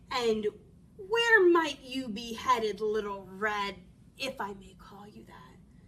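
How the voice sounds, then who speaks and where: At a fairly slow pace, a woman speaks in a put-on character voice pitched fairly high. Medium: read story. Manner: charming, sly.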